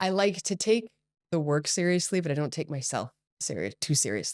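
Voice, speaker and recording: An energetic woman's voice with an American accent, fairly low in pitch, very wide pitch swings and a fairly quick pace, in a very clean recording with a silent background and a dry, close sound with no echo. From Hong Kong and Singapore, Californian family. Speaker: company CEO and entrepreneur. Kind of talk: podcast interview.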